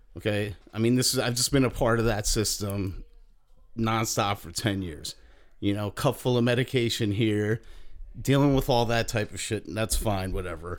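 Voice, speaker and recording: With ordinary pitch variation, a man talks at a moderate pace in a plain, everyday voice. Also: medium pitch for a man. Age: 40s. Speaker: podcast host. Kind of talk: casual chat.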